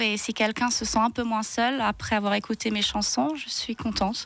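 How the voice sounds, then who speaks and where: The speaker is a woman with a fairly high pitch. Her pace is moderate. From Zurich, Switzerland. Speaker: singer. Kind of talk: radio interview. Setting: radio studio.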